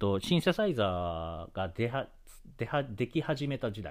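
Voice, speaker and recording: The recording is very clean, its background silent. A man does the talking. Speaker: solo podcast host. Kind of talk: casual solo talk. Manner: fast-talking; many fillers and hesitations.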